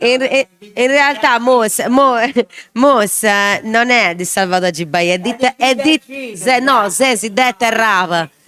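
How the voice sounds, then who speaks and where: With a bright, sharp tone and fairly high pitch, a woman speaks very slowly and with lively intonation. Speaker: show host. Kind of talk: live talk show with guests.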